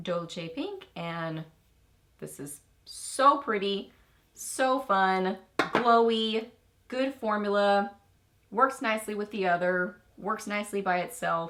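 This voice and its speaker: With an American accent, a woman talks very slowly at a medium pitch, her pitch varying in an ordinary way while her loudness swings widely and long pauses come often. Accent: Texan, stronger when excited. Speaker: beauty YouTuber. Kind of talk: product review chat to camera. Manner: animated.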